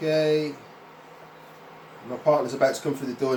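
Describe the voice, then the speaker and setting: Audible room echo and noticeable background noise both come through in this clip. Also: man. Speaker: cooking instructor. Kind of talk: cooking tutorial. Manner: casual.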